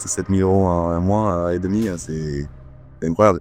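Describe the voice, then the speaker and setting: Over music in the background, a man with a Toulouse accent talks at a very fast pace. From southern France, Toulouse. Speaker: personal trainer. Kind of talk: testimonial interview. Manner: hesitant, many fillers.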